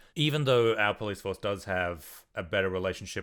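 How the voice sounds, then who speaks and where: Recorded very cleanly against a silent background, a man speaks with an Australian accent. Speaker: interviewer, book channel host. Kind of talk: casual interview chat. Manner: halting, repeats words.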